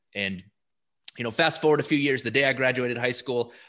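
A man with an American accent speaks in a bright, sharp tone with fairly even intonation against a quiet background. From US Midwest, rural South Dakota. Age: 30s. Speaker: sales entrepreneur. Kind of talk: interview. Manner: halting, many fillers and repeats.

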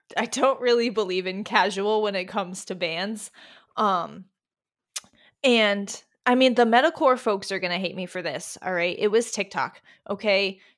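A woman speaks in a plain, everyday voice at a medium pitch. Her pace is moderate and her pitch varies in an ordinary way. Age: 20s. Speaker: music writer. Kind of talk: casual chat.

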